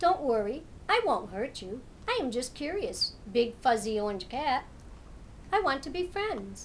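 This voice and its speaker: Over clear background noise, a woman puts on a character voice at a high pitch with very wide pitch swings. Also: moderate pace. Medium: read story.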